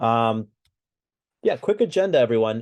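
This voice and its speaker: A man with a medium-pitched voice and an American accent. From US. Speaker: webinar co-host, recruitment executive. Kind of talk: webinar presentation. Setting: online webinar. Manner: hesitant, many fillers.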